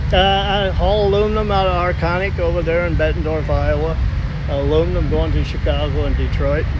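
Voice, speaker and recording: A man speaks at a fairly quick pace. The sound is dry with no echo, but noticeable background noise is present. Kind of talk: interview answer. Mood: relaxed, friendly. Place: street. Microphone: phone near.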